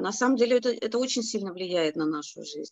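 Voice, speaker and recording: An ordinary speaking voice from a woman, fairly high in pitch, with lively intonation at a fairly quick pace and a dry sound with no echo. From Surgut, Russia. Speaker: company partner sharing a story. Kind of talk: storytelling, testimonial. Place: office. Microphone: video call.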